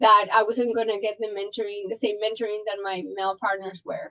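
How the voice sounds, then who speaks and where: A woman with a Colombian accent speaks at a fairly high pitch in a bright, sharp tone. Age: 40s. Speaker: trauma surgeon. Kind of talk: podcast interview. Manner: animated, intense.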